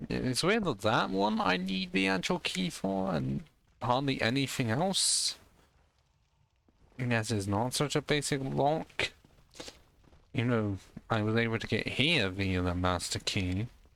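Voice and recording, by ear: Mumbling in a put-on character voice at medium pitch, a man moves at a fairly slow pace with long, frequent pauses and very wide pitch swings.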